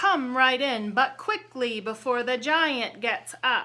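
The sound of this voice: A woman performs a put-on character voice in a high pitch at a fairly slow pace.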